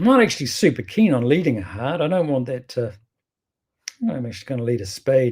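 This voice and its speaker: A man with a strong New Zealand accent talks very fast at a medium pitch, his intonation lively and his voice somewhat breathy, with long, frequent pauses on a very clean recording over a silent background. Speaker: bridge teacher. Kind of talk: casual commentary on card play. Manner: chatty, hesitant with restarts.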